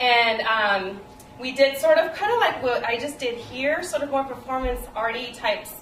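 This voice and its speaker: Over noticeable background noise and audible room echo, a woman speaks with a fairly high pitch and ordinary pitch variation. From El Salvador, moved to US at eight. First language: Spanish. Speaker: playwright. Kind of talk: interview. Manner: hesitant, many fillers.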